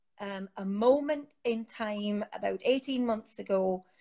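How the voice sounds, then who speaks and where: On a very clean recording with a silent background, a woman speaks at medium pitch with a Geordie accent. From northern England, Newcastle. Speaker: sobriety support community founder. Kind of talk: interview.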